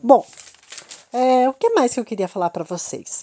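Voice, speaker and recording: This is a woman speaking. Her pitch is high. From Brazil, Curitiba. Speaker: mentor / life coach. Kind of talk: motivational talk. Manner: conversational, informal.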